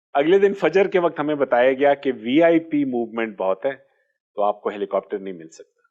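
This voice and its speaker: A man's voice with big swings in loudness and very wide pitch swings. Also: fairly high pitch for a man. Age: 60s. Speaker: orthopaedic surgeon. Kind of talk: interview.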